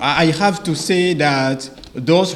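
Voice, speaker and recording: A man speaks very slowly with a French accent and fairly even intonation. Audible room echo and noticeable background noise fill the recording. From Ivory Coast / Benin. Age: 20s. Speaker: medical doctor, English learner. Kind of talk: prepared oral presentation for exam jury. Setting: graduation ceremony before examining board. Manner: halting, with frequent hesitations.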